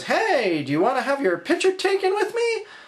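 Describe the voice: In a put-on character voice, the speaker talks at an extremely high pitch and a moderate pace.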